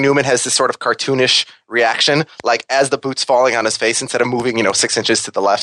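In a dry, close sound with no echo, a man with an American accent speaks at a very fast pace, his medium-pitched voice bright and sharp in tone. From Minnesota. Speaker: podcast co-host and guest. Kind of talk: casual chat.

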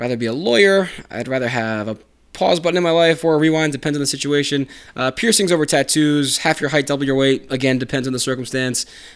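A man talks very fast in a fairly high voice with an American accent. His pitch varies in an ordinary way, and the recording is very clean with a silent background. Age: 30s. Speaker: podcast host. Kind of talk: solo casual podcast monologue. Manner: casual, many filler words.

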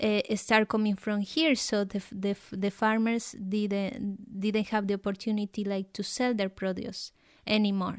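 Speaking at a moderate pace with a Colombian accent, a woman keeps a medium pitch and flat, monotone intonation in a very clean recording with a silent background. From Colombia, Nariño. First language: Spanish. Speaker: guest from abroad. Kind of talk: casual interview.

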